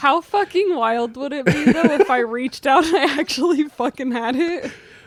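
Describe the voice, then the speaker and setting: Noticeable background noise sits under speech with lively intonation at a moderate pace. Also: woman, high pitch for a woman. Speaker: streamer reading stories aloud. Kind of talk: casual chat. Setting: live stream.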